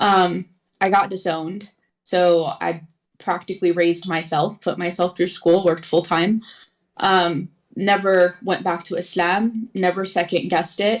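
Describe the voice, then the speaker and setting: A woman with an American accent, fairly low pitch, fairly slow pace and monotone, flat intonation, on a very clean recording with a silent background. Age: 20s. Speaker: caller. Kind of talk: testimony. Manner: halting.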